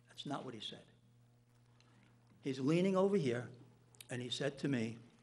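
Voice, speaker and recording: With an American accent, a man speaks at a moderate pace in a fairly high pitch, his lively intonation and big swings in loudness carried by audible room echo. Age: 60s. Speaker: town official. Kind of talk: public meeting statement.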